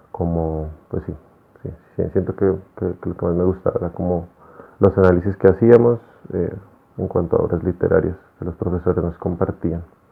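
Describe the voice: A man talks at a fairly quick pace in a low voice with vocal fry and fairly even intonation. There is a slightly husky edge to his voice.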